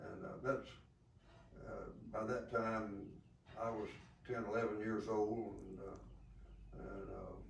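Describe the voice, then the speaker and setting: A man with a Southern US accent speaks at a fairly low pitch in a monotone, flat intonation. His pace is very slow, with long, frequent pauses and audible room echo. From US South. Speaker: war veteran. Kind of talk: interview. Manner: halting.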